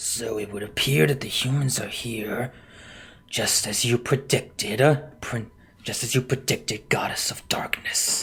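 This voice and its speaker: The put-on character voice is raspy. It moves at a moderate pace. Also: man, medium pitch for a man. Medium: actual play.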